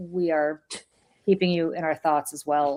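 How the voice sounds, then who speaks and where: A woman speaks with a slight Russian accent and fairly even intonation. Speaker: political podcast host. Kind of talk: casual chat.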